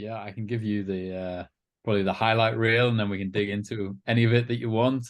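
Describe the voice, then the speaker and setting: A man with a fairly low pitch talks at a very fast pace. He speaks in a flat monotone with an English accent. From England, Liverpool. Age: 40s. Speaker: company CEO, former military pilot trainee. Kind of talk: podcast interview.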